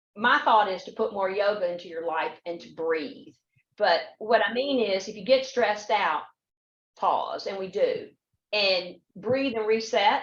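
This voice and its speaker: Her loudness swinging widely, a woman speaks at medium pitch with ordinary pitch variation. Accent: Southern US. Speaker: panel guest, workplace speaker. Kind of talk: panel discussion.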